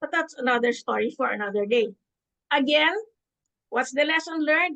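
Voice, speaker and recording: Raised and projected, a woman's high-pitched voice has a bright, sharp tone at a moderate pace. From Philippines. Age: 70s. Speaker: public speaking club member. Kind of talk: storytelling speech. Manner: animated.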